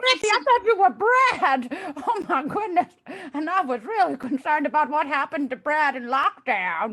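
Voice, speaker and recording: A high-pitched put-on character voice moves along at a moderate pace. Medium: game stream. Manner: excitable, babbling.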